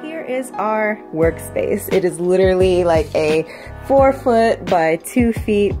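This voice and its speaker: A woman speaks very slowly with lively intonation. Music plays in the background. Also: medium pitch for a woman. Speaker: photographer. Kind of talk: casual cooking vlog talk to camera. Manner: casual, chatty.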